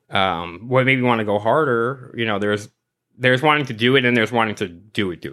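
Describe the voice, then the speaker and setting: A man with an American accent, talking at a very fast pace, his loudness swinging widely up and down. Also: medium pitch for a man, ordinary pitch variation. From New York. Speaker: sticker artist. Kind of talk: casual chat.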